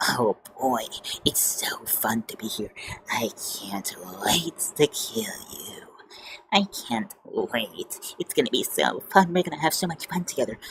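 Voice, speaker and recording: Whispering in a put-on character voice, a man leaves long, frequent pauses as his loudness swings widely. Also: fairly slow pace. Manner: cheerful, gleeful.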